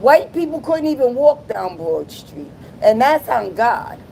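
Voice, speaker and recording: Noticeable background noise sits behind the voice. A woman with an American accent talks in an animated tone. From Providence, Rhode Island, US. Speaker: live streamer. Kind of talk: casual chat.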